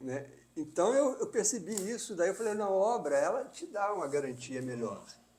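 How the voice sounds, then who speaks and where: A man speaks with a high-pitched voice. His pitch swings very widely. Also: moderate pace. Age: 70s. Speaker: architect. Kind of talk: casual chat. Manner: halting.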